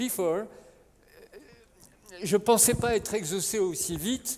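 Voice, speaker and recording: Speech with a French accent at a moderate pace, over noticeable background noise. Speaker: conference moderator. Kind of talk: panel moderation. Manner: halting.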